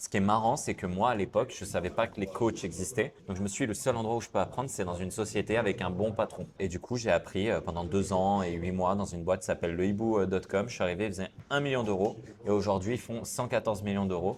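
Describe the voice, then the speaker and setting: Very fast, almost pauseless speech from a man at fairly low pitch with ordinary pitch variation. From southern France, Cannes. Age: 30s. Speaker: sales coach and entrepreneur. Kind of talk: interview. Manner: hesitant fillers.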